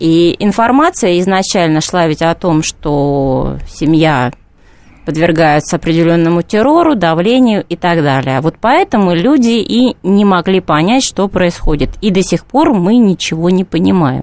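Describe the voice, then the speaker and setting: This woman has a plain, everyday voice, fairly low in pitch, with lively intonation. She speaks at a fairly slow pace, her loudness very even. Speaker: journalist and feminist. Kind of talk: radio studio discussion. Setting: studio.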